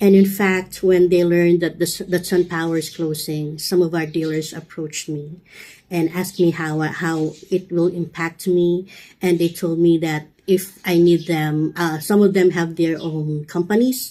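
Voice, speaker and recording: Here a woman speaks with a dark, mellow tone. Her intonation is monotone and flat. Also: fairly low pitch for a woman, moderate pace. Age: 50s. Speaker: customer support representative. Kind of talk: interview answer. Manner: slight stutter.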